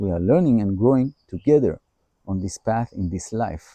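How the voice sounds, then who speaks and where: A man with an Israeli accent speaks at a fairly quick pace in a dark, mellow tone with ordinary pitch variation. The sound is dry and close, with no echo. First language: Hebrew. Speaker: holistic healer. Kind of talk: personal introduction monologue.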